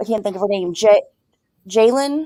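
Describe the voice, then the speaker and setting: The speaker is a woman. Her voice carries a dark, mellow tone. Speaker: true crime discussion panelist. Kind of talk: casual chat.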